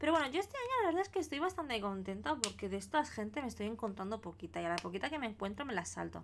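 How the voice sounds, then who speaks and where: A woman with a Spanish accent over light background noise. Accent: Spanish (Spain). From Spain. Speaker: crafting streamer. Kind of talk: live stream chat while colouring. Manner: animated. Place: home room.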